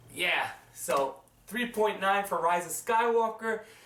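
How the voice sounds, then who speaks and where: Noticeable background noise accompanies a man's high voice, which shows ordinary pitch variation. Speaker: movie reviewer. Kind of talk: casual video review. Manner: casual, halting.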